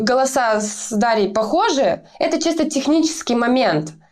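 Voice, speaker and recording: High-pitched female speech carrying audible room echo. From Russia, small town. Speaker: metal band vocalist. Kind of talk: interview. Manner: hesitant, many filler sounds.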